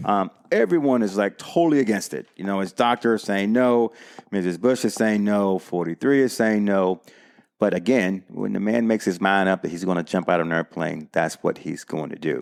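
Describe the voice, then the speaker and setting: Speaking in a plain, everyday voice, a man has a fairly low pitch, ordinary pitch variation and a moderate pace. The recording is very clean, with a silent background. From US South, North Carolina. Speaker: war veteran and skydiving instructor. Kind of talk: storytelling interview.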